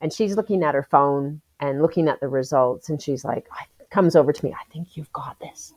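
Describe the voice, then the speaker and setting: With a dry, close sound and no echo, a woman with a very deep, low pitch speaks fairly quickly in an animated tone, with hardly any pauses, ordinary pitch variation and big swings in loudness. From Canada. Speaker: Paralympic athlete. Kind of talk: interview.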